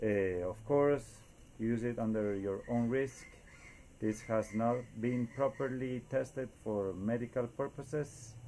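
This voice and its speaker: Dark and mellow in tone, the voice moves at a fairly slow pace with fairly even intonation. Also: man, medium pitch for a man. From Costa Rica. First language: Spanish. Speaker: DIY inventor. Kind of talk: tutorial. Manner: hesitant, many fillers.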